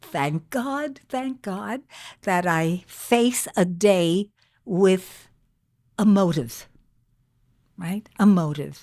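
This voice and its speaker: The voice has a dark, mellow tone and moves at a very slow pace with long, frequent pauses. The recording is very clean, with a silent background. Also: woman, medium pitch for a woman. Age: 80s+. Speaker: grandmother and podcast guest. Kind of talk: casual chat. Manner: halting.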